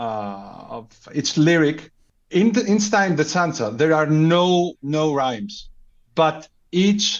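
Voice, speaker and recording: Very slow pace from a man with a Greek accent, fairly high pitch, and very wide pitch swings. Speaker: podcast guest. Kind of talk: casual chat. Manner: halting, repeats words.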